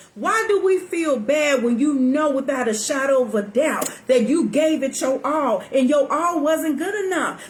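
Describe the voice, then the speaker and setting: A woman's high-pitched, animated voice with very wide pitch swings, at a fairly slow pace, with audible room echo. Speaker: talk show host. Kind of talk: live talk show monologue. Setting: live stream.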